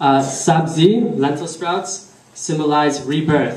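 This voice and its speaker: A slight Persian accent comes through at a very slow pace, with ordinary pitch variation, audible room echo and noticeable background noise. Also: man. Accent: weak Persian. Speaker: speaker at a religious community celebration. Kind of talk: prepared speech. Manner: halting.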